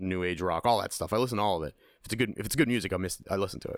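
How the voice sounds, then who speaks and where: In a very clean recording with a silent background, a man with a fairly low pitch speaks in an animated tone with ordinary pitch variation. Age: 30s. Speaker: podcast host. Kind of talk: casual chat. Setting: studio.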